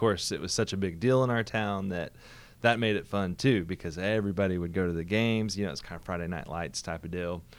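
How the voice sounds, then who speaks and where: The man's voice is very deep and low, with fairly even intonation. The recording is very clean, with a silent background. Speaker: pastor. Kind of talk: casual interview chat.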